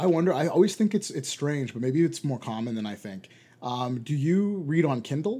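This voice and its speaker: In a very clean recording with a silent background, a man with a dark, mellow tone speaks at a fairly high pitch, his voice making very wide pitch swings. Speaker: podcast host. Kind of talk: casual chat. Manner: fast talker.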